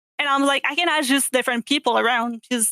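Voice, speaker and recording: In a French accent, a woman talks at a very fast pace with a bright, sharp tone. The sound is dry and close, with no echo. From Quebec, Canada. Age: 20s. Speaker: gamer. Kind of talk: podcast interview.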